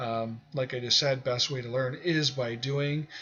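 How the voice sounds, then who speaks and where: This is a man with an ordinary speaking voice. His pitch is medium. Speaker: online music marketing instructor. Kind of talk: tutorial. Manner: casual, many filler words.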